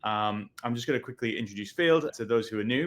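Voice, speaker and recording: A man with a British accent talks at a fairly quick pace. His pitch is medium, with ordinary variation. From UK. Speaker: webinar host, sales executive. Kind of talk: webinar interview.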